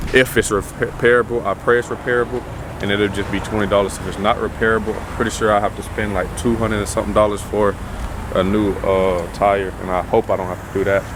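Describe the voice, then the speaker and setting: The speech comes at a very fast pace in a monotone, flat intonation. Noticeable background noise sits behind it. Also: man, fairly low pitch for a man. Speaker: vlogger. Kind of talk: casual vlog monologue.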